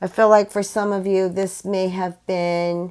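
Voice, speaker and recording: A woman speaks with monotone, flat intonation on a very clean recording with a silent background. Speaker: psychic tarot reader. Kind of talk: tarot reading monologue. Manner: slow; hesitant, many fillers.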